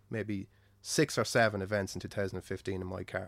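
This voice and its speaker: A man talks at a very fast pace. He has an Irish accent. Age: 20s. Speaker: car enthusiast. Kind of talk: casual chat.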